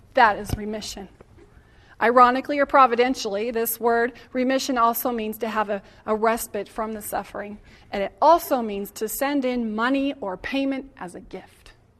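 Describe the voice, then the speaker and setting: With a plain, everyday voice, a woman talks at a moderate pace and a fairly high pitch, showing ordinary pitch variation and big swings in loudness. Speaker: spiritual healer and speaker. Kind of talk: talk to a live audience.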